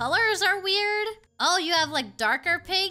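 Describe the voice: Faint music plays behind a woman using a cartoonish character voice. Her pitch is extremely high, her tone bright and sharp, and she talks at a fairly slow pace.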